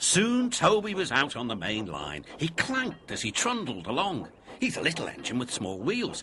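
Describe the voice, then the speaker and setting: Over noticeable background noise, a man with a fairly high pitch talks at a moderate pace, his pitch swinging very widely. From Britain. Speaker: children's television narrator. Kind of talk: children's story narration.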